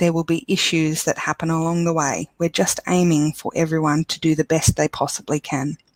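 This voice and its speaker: A woman's fairly low, monotone, flat voice in an Australian accent, hardly pausing, with a dry, close sound and no echo. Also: fairly quick pace. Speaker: education support officer presenting webinar. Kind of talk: webinar presentation. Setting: online webinar.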